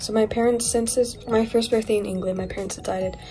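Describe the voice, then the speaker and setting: A woman's monotone, flat delivery over faint music in the background. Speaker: toy collector channel host. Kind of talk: casual vlog chat. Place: home room. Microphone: phone near.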